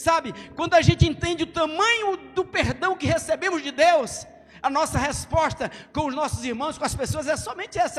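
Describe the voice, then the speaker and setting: Over music in the background, a man talks at a moderate pace with an extremely high pitch. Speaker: pastor. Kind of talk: sermon. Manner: loud; animated.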